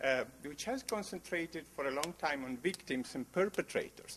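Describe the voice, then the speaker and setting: A man with an Italian accent speaks at a moderate pace, his pitch swinging very widely. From Italy. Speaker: geography researcher. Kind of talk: conference talk. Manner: halting, many fillers.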